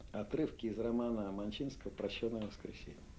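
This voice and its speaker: Fairly quick speech from a man, pitched in the medium range. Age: 60s. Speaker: literary editor. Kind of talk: interview. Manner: halting.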